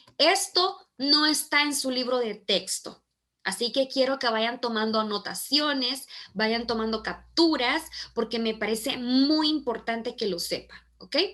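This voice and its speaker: In a quiet background, a woman speaks at a fairly slow pace in a high pitch. Her tone is bright and sharp, and her intonation is lively. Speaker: teacher. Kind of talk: online class lecture.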